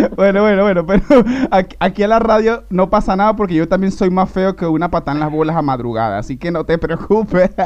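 Speaking very fast, a man uses a high voice with ordinary pitch variation. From Venezuela. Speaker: radio host. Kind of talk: live radio show. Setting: studio. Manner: animated.

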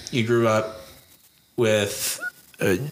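A man with an American accent, fairly low in pitch and fairly even in intonation, against noticeable background noise. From Idaho. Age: 30s. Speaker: podcast host. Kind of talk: casual chat.

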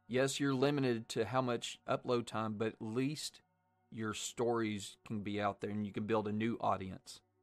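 A man with fairly even intonation, music in the background. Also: medium pitch for a man, moderate pace. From US South, Arkansas. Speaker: horror podcast host. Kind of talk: casual chat.

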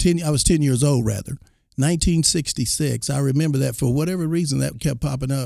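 With an American accent, a man speaks at a moderate pace in a dark, mellow tone. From Texas Panhandle, then Oklahoma. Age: 60s. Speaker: former college football player. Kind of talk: interview.

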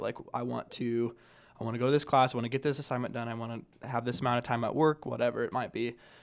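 A man with an American accent, medium pitch and an unremarkable speaking voice, on a very clean recording with a silent background. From Nebraska. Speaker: college student. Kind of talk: casual chat.

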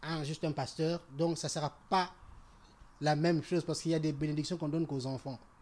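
A man's fairly high, monotone voice with flat intonation at a very fast pace, in a very clean recording with a silent background. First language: French. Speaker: church member. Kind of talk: casual discussion.

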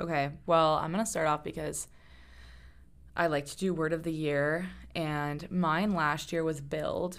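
Speaking fairly slowly, a woman uses a very deep, low pitch and a flat monotone. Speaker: podcast host. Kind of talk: casual chat. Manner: soft-spoken.

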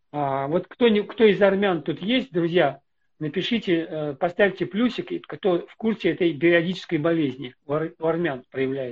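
A man with a high pitch talks at a fairly slow pace, his loudness swinging widely while his pitch varies in an ordinary way. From Russia. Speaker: pastor. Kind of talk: casual chat.

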